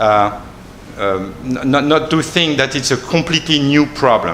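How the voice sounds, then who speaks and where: A man with a French accent speaks at a fairly slow pace in a fairly high pitch, with noticeable background noise. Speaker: researcher on a panel. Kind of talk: panel presentation. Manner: halting, many repetitions.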